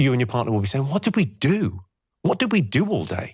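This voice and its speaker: Very wide pitch swings mark a man's very fast speech in a very clean recording with a silent background. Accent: British. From Britain. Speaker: comedian. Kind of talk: interview answer.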